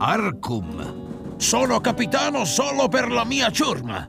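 A man puts on a character voice at an extremely high pitch, with vocal fry and a fairly bright tone. He talks slowly with very wide pitch swings as faint music plays in the background.

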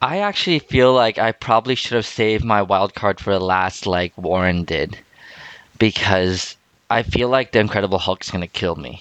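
A man's fairly low, normal speaking voice with ordinary pitch variation and a moderate pace. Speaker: podcast co-host. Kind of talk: casual chat.

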